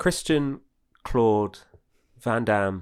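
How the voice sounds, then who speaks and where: A man speaks with ordinary pitch variation. The recording is very clean with a silent background. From Hastings, southern England. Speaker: podcast host and comedian. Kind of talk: casual chat.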